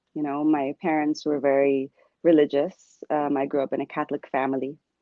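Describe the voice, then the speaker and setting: A woman's very deep, low voice at a moderate pace. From Puerto Rican, New York. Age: 40s. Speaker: abuse survivor. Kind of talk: testimony.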